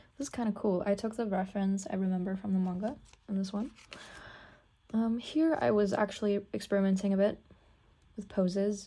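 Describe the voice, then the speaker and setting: With a dark, mellow tone and a somewhat breathy quality, a woman speaks fairly quickly in a medium pitch with ordinary pitch variation and long, frequent pauses. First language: not English. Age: 18. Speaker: art student and pianist vlogger. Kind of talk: casual sketchbook tour. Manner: hesitant, many fillers.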